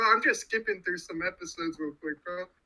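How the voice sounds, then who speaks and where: A man raises and projects his voice, his pitch swinging very widely. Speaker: podcast co-host. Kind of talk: casual chat. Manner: animated.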